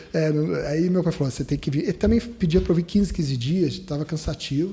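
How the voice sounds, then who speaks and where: At a fairly quick pace, a man with a high pitch and dark, mellow tone speaks with ordinary pitch variation. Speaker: dentist, dental radiologist. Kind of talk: podcast interview. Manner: halting, many restarts.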